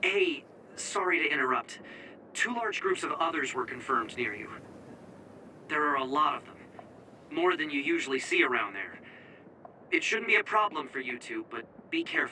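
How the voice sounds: A man's put-on character voice at a fairly high pitch, bright and sharp in tone, with big pitch swings, a moderate pace, long, frequent pauses and faint background noise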